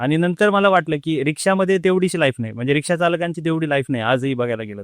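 A man with a plain, everyday voice talks at a fairly high pitch with lively intonation. The sound is dry and close with no echo, on a very clean recording with a silent background. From Jalgaon district, Maharashtra, India. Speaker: government officer, former rickshaw driver. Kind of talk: interview.

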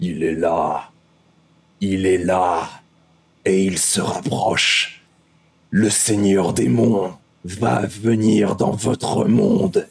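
The speaker is a man using a put-on character voice. His pitch is very deep and low, and his pace is very slow. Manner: menacing.

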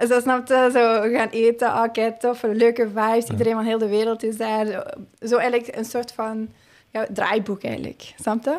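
In a very clean recording with a silent background, a woman speaks with a Flemish accent. Her fairly high voice stays monotone, the intonation flat. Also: moderate pace. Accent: Flemish Dutch. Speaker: Olympic hurdler. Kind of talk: casual interview. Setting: studio.

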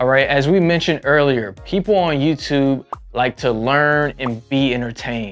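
A man talks at a moderate pace with ordinary pitch variation. Faint music plays in the background. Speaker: presenter. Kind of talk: tutorial. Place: studio. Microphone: lapel.

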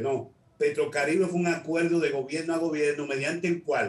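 Against audible room echo, a man talks at a fairly quick pace. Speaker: political commentator, remote guest. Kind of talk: interview answer. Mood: critical, argumentative. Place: home room. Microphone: video call.

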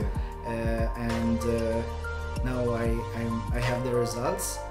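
A man speaking at a very slow pace over loud music in the background. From Hungary. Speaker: interview guest. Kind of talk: interview answer. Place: home room.

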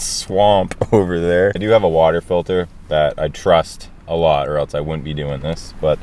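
The recording sounds dry with no echo, and the voice shows ordinary pitch variation. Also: man. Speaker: outdoor vlogger. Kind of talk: casual vlog chat. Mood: relaxed, cheerful. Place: car. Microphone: camera far.

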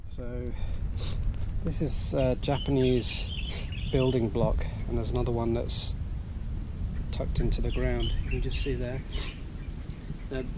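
A man speaks at a fairly slow pace with long, frequent pauses. Noticeable background noise runs underneath. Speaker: relic hunter vlogger. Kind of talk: casual vlog chat. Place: forest. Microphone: phone near.

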